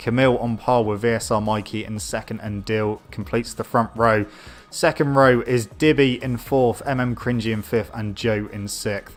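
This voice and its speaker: A man with a British accent, medium pitch and a moderate pace. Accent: British, noticeable. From Britain. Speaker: gaming streamer and race commentator. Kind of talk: live commentary. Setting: live stream. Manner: animated.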